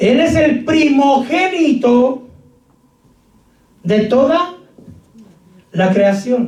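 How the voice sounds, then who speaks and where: With audible room echo, a man with an extremely high pitch speaks very slowly with lively intonation and long, frequent pauses. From Mexico. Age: 50s. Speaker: pastor. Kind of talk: sermon.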